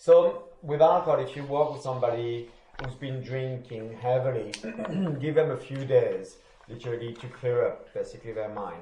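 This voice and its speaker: With a French accent, a man talks at medium pitch. Noticeable background noise and audible room echo surround him. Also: ordinary pitch variation, moderate pace, big swings in loudness. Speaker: recovery study group leader. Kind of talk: group study session.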